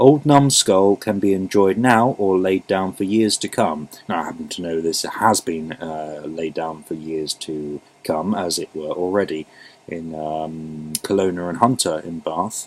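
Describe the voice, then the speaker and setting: Amid noticeable background noise, a man with an English accent and a very deep, low pitch talks fairly slowly, with ordinary pitch variation and big swings in loudness. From England. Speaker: beer reviewer. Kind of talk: casual product review. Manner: halting, many fillers.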